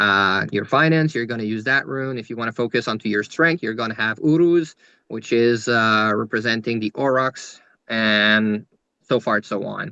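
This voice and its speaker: Here a man speaks with a Quebec accent at a moderate pace. His tone is bright and sharp, and the sound is dry and close with no echo. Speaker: rune reader, spiritual guest speaker. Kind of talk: podcast interview, explaining runes. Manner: halting, many fillers and restarts.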